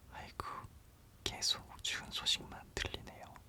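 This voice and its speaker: A man whispering over noticeable background noise. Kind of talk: ASMR whisper parody of a TV commercial. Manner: whispered.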